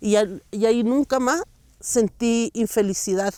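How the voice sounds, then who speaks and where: Speaking with a Chilean accent at a fairly slow pace, a woman has a fairly high pitch and a dark, mellow tone. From Chile, San Pedro de Atacama. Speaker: intercultural educator and artisan. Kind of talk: interview answer.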